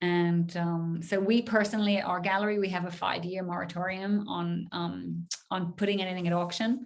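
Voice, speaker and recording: A woman's voice, fairly low in pitch. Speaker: gallery director, art professional. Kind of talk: webinar Q&A. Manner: fast; animated.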